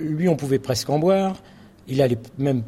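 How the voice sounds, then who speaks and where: A man speaks at a fairly quick pace in a medium pitch. His tone is dark and mellow, and his voice is somewhat breathy. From France, Charente. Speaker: farmer and association founder. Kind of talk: speech to an assembly.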